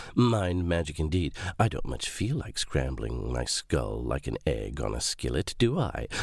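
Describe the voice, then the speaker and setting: A man's put-on character voice, raspy and very deep, at a moderate pace with very wide pitch swings. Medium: read story. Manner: sly, mocking.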